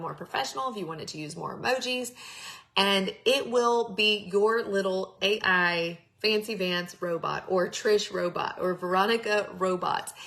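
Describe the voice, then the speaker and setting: With a Texan accent, a woman speaks at a medium pitch with ordinary pitch variation over noticeable background noise. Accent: Texan twang. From Texas. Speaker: network marketing coach. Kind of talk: live-streamed training. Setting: live stream. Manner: animated.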